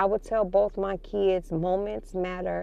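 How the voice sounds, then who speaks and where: A woman's dark, mellow voice with a slight Chicago accent, at a fairly slow pace. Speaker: parenting vlogger. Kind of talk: casual vlog monologue. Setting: in a car.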